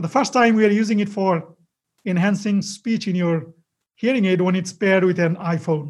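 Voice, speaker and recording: Pitched high, a man talks at a moderate pace with ordinary pitch variation. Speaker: technology executive and engineer.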